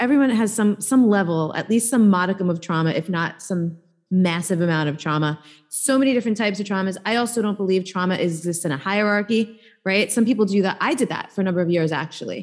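Someone talks at a very fast pace in a New York accent, with lively intonation. The background is quiet. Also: woman. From New York, Staten Island. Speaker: embodiment coach and healer. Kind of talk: casual interview conversation.

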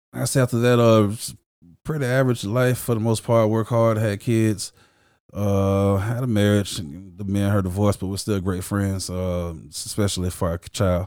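A man with a plain, everyday voice, fairly low in pitch, with ordinary pitch variation and an American accent, at a moderate pace. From Jacksonville, Florida, with time in Chicago. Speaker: church member sharing testimony. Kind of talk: testimony. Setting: studio.

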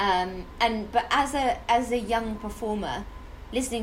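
A woman's voice, with ordinary pitch variation, comes through noticeable background noise and audible room echo. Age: 30s. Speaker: podcast host and actor. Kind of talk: casual chat.

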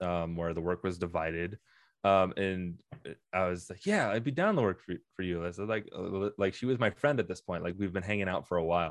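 A man speaks at a fairly quick pace in a very deep, low pitch with fairly even intonation. The sound is dry and close with no echo, over a quiet background. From small town. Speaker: animator. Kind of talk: casual interview.

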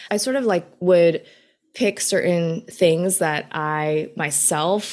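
A woman with a normal speaking voice talks in an American accent at a fairly low pitch with ordinary pitch variation. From New York City, Queens. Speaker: business student and recipe creator. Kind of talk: casual interview.

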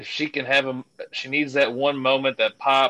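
A bright, sharp voice in a Kentucky accent sounds dry and close with no echo against a quiet background. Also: man. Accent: Kentucky Southern US. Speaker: wrestling fan award winner. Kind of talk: casual chat.

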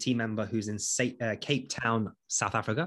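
A man with an East Midlands accent, medium pitch, fairly even intonation, moderate pace, quiet background. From English East Midlands, Nottinghamshire. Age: 30s. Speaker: entrepreneur, former police detention officer. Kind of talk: interview. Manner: hesitant, frequent fillers.

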